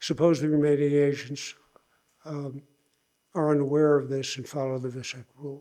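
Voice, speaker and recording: A man speaks in a dark, mellow tone at a fairly high pitch with monotone, flat intonation. The pace is moderate, with long, frequent pauses. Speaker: invited lecturer, engineering professor. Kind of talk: lecture. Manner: halting, many restarts.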